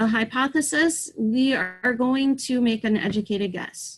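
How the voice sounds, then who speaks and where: A woman speaks in a plain, everyday voice. Her pace is fairly slow and her intonation fairly even. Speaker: teacher. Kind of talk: online lesson.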